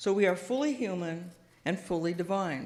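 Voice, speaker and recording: Soft-spoken, a woman talks at a moderate pace in a fairly low pitch, with audible room echo. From US Pacific Northwest, Seattle. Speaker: guest minister. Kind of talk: sermon. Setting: church with audience, PA system. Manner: halting, with many fillers.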